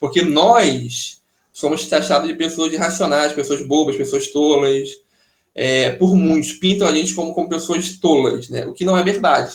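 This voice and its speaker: Audible room echo surrounds a man speaking at a moderate pace in a high voice with ordinary pitch variation. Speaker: pastor teaching a Bible study. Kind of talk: online Bible study lecture with Q&A.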